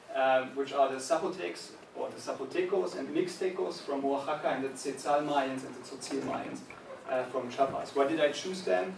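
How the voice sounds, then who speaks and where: Lively intonation and big swings in loudness mark a man's fairly high voice at a moderate pace, with noticeable background noise and audible room echo. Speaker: visiting researcher. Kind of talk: lecture. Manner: halting, many fillers.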